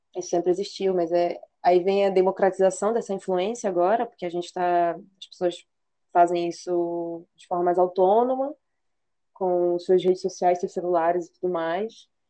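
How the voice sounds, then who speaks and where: Her tone dark and mellow, a woman speaks at a medium pitch and a moderate pace. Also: fairly even intonation. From Belém, Brazil. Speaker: podcast co-host. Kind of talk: casual chat.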